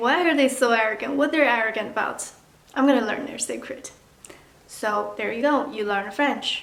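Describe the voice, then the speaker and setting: With a Mandarin accent, a woman speaks at a high pitch and a moderate pace with ordinary pitch variation, amid noticeable background noise and audible room echo. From China. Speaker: vlogger. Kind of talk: casual tutorial vlog. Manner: casual, chatty.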